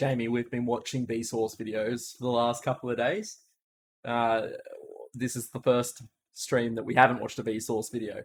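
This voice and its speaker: In a very clean recording with a silent background, a man with an Australian accent talks at a moderate pace in a medium pitch with monotone, flat intonation. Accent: thick Australian. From Australia, Melbourne area (near Frankston). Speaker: streamer. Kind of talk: casual chat. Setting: live stream. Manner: halting.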